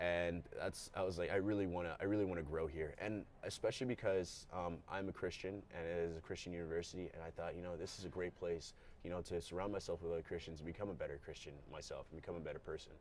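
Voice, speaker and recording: A man with an American accent talks very fast with hardly any pauses. His voice sits very deep and low, with fairly even intonation. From Maryland, US (moved from Ghana at four). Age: 20s. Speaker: college athlete. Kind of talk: interview. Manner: casual, many fillers.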